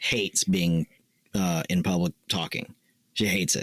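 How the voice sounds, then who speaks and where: A man talks at a moderate pace. The recording is very clean with a silent background, and the sound is dry and close with no echo. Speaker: podcast co-host, military veteran. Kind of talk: casual chat. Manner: talkative, long-winded.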